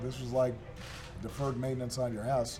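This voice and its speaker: A man with an American accent speaks at a medium pitch, his tone dark and mellow and somewhat breathy. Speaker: politician. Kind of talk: remarks to press.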